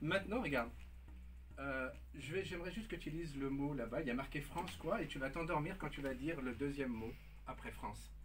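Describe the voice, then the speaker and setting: Against noticeable background noise, a man with a fairly high pitch speaks at a very fast pace. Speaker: hypnotist. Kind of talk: hypnosis induction, calm suggestive commands on live radio. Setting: live radio studio. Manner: soothing, repetitive, coaxing.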